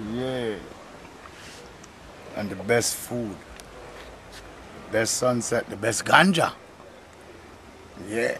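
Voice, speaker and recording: A man at medium pitch speaking at a very slow pace, with long, frequent pauses, ordinary pitch variation and noticeable background noise. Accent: Jamaican. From Jamaica. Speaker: tour guide. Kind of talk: casual talk to camera. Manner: laid-back, upbeat.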